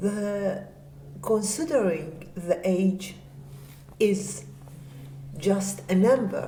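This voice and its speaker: Speaking at a very slow pace with long, frequent pauses, a woman uses ordinary pitch variation. Audible room echo and noticeable background noise fill the recording. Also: medium pitch for a woman. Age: 60s. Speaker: older model and carer. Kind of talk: talk to camera.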